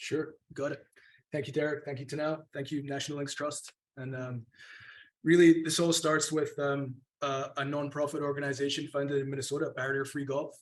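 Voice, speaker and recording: A man with a Scottish accent, fairly quick and monotone with flat intonation. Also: fairly high pitch for a man. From Scotland, North Berwick. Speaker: golf course architect. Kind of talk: panel discussion. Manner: fast.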